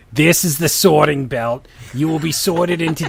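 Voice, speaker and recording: A husky, raspy put-on character voice at a middle pitch and moderate pace, in a New Jersey accent. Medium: read story.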